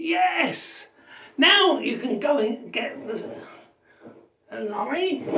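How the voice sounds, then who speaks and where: A woman puts on a character voice, pitched high. She talks very slowly, with long, frequent pauses. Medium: solo performance.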